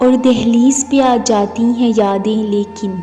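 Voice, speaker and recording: A woman talks at a fairly high pitch while music plays behind her. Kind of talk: poetry reading.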